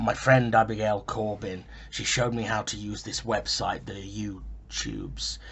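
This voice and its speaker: A man's raspy, put-on character voice at a moderate pace, over clear background noise. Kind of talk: found-footage vlog monologue. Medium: audio drama. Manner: halting, earnest, self-interrupting.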